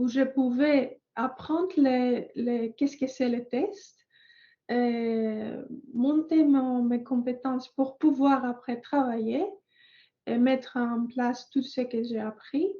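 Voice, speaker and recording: With a Greek accent, a woman speaks at a very slow pace in a high, dark, mellow voice with fairly even intonation. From Greece. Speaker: software test engineer. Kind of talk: panel testimony. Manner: halting, many hesitations.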